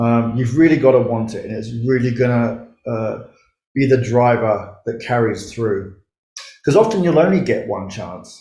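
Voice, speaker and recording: In a room with audible echo, a somewhat breathy man with a dark, mellow tone speaks at a moderate pace, using ordinary pitch variation and big swings in loudness. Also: medium pitch for a man. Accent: Australian. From Australia. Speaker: startup mentor and investor. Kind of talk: conference talk.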